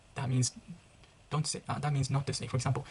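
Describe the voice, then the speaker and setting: A fairly quick delivery in a Japanese accent. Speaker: international student vlogger. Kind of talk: casual vlog monologue. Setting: residence room near common room. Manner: halting, self-correcting.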